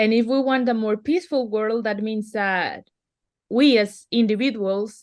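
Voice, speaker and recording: In a quiet background, a woman with a Spanish accent speaks fairly slowly at a fairly high pitch, with ordinary pitch variation. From Venezuela. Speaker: artist and activist. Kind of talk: interview.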